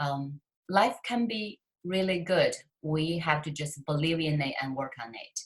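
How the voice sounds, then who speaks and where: At a fairly slow pace, a woman with a Chinese accent speaks in a very deep, low pitch, somewhat breathy, with lively intonation. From China. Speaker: author and success coach. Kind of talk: interview.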